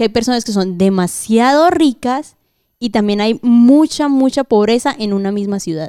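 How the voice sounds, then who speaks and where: A woman speaks at a moderate pace with lively intonation and a dark, mellow tone. The sound is dry and close, with no echo. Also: fairly high pitch for a woman. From Colombia. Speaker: guest. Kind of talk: casual chat.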